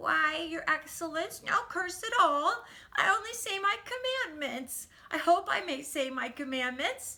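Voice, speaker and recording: A woman puts on a whiny character voice at an extremely high pitch. Her pitch swings very widely at a moderate pace. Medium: read story. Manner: crone-like, whining.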